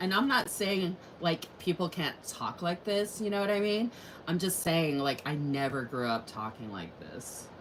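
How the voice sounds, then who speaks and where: A woman speaks over noticeable background noise. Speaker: crafting and planner YouTuber. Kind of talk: casual livestream chat while crafting. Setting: live stream.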